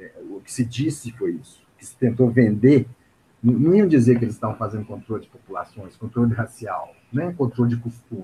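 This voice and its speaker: The man talks fairly quickly, his medium pitch showing ordinary pitch variation. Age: 50s. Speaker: psychologist and activist. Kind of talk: interview. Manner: hesitant, many fillers.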